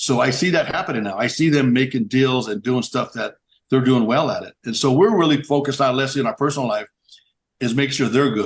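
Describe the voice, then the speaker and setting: With ordinary pitch variation and a medium pitch, a man delivers his words at a fairly quick pace. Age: 60s. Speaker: business owner in construction and horse racing. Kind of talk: podcast interview. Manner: halting, with many repetitions.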